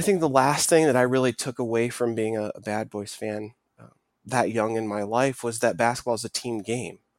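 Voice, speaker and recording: This man has an unremarkable speaking voice at a medium pitch, with ordinary pitch variation. He talks at a moderate pace, and the recording is very clean with a silent background. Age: 30s. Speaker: sports podcast co-host. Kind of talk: casual chat.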